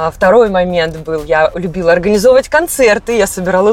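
A woman speaks with lively intonation at a moderate speed while noticeable noise runs in the background. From Cossack family, southern Russia. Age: young. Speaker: psychologist and singer. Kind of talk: casual chat. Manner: hesitant, filler sounds.

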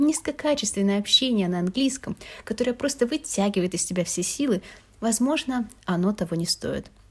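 A woman speaks at a moderate pace, somewhat breathy. Her intonation is lively. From Russia, Moscow. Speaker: podcast host, university student. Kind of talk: personal monologue podcast.

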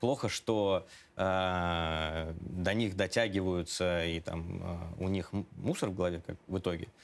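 A man speaks at a very slow pace with a very deep, low pitch and fairly even intonation. The recording is very clean, with a silent background. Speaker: organization director. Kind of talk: interview. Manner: hesitant.

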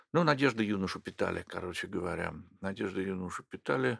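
At a fairly quick pace, a man speaks with a very deep, low pitch, vocal fry and lively intonation, in a dry, close sound with no echo on a very clean recording with a silent background. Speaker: plastic surgeon. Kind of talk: interview.

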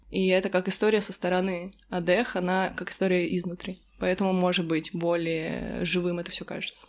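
Speaking at a moderate pace with hardly any pauses, a woman keeps a medium pitch and a monotone, flat intonation. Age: 20s. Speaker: fan community admin. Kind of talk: casual chat.

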